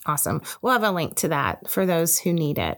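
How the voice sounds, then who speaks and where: A woman speaks with a normal speaking voice at a medium pitch. Her intonation is lively. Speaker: podcast host. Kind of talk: interview conversation.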